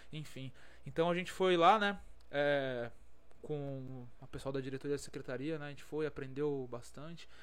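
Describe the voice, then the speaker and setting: Audible room echo surrounds a voice at a moderate pace, with ordinary pitch variation and big swings in loudness. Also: man, fairly high pitch for a man. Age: 20s. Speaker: civil defense geologist. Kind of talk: casual chat.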